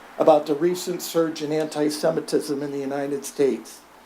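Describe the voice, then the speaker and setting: Clear background noise runs beneath talking delivered at a moderate speed. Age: 70s. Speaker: public commenter at city meeting. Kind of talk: public comment. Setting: city commission meeting.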